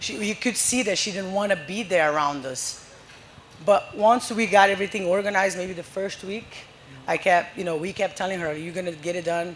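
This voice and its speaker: With a non-native accent, the speaker goes at a fairly quick pace over noticeable background noise. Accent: foreign. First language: Portuguese. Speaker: soccer coach. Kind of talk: live podcast interview. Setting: live event at a brewery with audience. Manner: animated.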